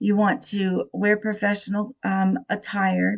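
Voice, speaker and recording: A woman with a medium-pitched, somewhat breathy voice is heard in a dry, close sound with no echo. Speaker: student. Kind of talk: class presentation. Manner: hesitant, many filler words.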